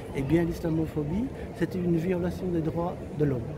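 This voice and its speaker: Audible room echo and noticeable background noise surround speech at a moderate pace. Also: man. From Belgium, Brussels. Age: 60s. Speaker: activist, community organisation spokesman. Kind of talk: interview. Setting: outdoors on a public square. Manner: hesitant, many filler sounds.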